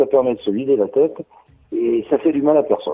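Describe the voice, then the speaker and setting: Music is playing in the background. Over it, a man speaks at a moderate pace. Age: 60s. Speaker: rugby supporter, retiree. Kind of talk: interview. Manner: hesitant, many fillers.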